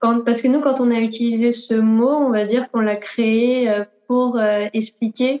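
In a dry, close sound with no echo, a woman speaks at a fairly high pitch with monotone, flat intonation. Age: 20s. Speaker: dancer. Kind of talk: interview.

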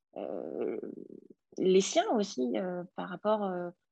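This is a woman speaking at a medium pitch. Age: 30s. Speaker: coaching client sharing her love life. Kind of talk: interview testimony. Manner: halting, many repetitions.

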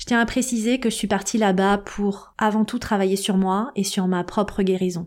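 A woman speaks with fairly even intonation. She has an unremarkable speaking voice. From Paris suburbs, Seine-Saint-Denis (Aubervilliers). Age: 40s. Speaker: podcast host and life coach. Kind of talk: personal storytelling monologue.

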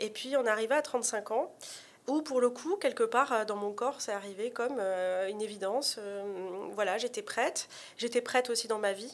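A woman with an ordinary speaking voice talks at a fairly high pitch, her pitch varying in an ordinary way, on a very clean recording with a silent background. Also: moderate pace. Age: 30s. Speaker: author. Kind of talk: interview.

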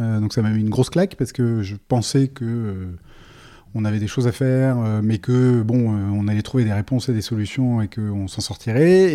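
At a moderate pace, a man with a medium pitch and a dark, mellow tone speaks with ordinary pitch variation, on a very clean recording with a silent background. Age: 40s. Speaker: entrepreneur. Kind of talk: podcast interview. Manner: halting.

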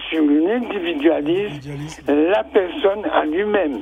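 A man's pitch swings very widely while music sounds behind him. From French Caribbean. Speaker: regular radio caller. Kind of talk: call-in opinion. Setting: phone call.

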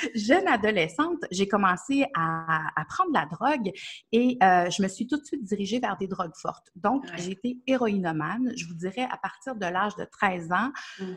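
A woman with a Quebec accent speaks at a moderate pace and medium pitch, somewhat breathy, with lively intonation. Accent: Québécois. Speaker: nutrition therapist and coach. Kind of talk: interview.

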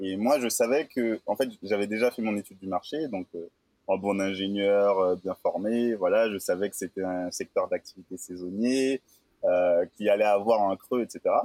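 A man's fairly low voice has a dark, mellow tone and ordinary pitch variation, moving at a fairly slow pace with a dry, close sound and no echo. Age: 20s. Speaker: moving company founder. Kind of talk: interview. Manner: halting.

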